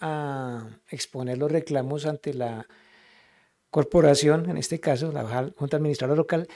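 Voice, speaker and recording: The voice is dark and mellow in tone, moving at a fairly slow pace with ordinary pitch variation over a quiet background. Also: man. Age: 60s. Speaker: local councillor. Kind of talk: council meeting speech. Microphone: video call.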